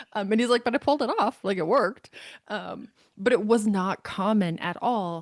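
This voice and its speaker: A woman with a plain, everyday voice speaks at a moderate pace and a fairly high pitch, with ordinary pitch variation against a quiet background. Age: 40s. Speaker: author. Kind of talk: interview answer.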